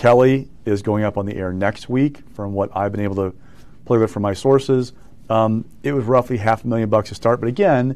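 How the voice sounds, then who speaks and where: The man talks at a fairly quick pace. His intonation stays fairly even. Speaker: news guest. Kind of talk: interview answer. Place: studio. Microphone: lapel.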